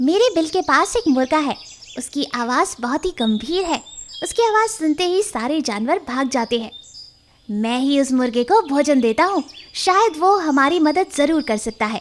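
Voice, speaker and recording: In a cartoonish character voice, someone speaks at a moderate pace with a high pitch. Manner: eager, respectful.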